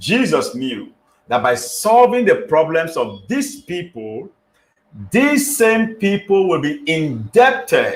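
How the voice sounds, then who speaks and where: A man talks at a very slow pace. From Nigeria. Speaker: pastor and motivational speaker. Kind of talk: motivational teaching broadcast. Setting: live online broadcast. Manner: slow, deliberate; emphatic.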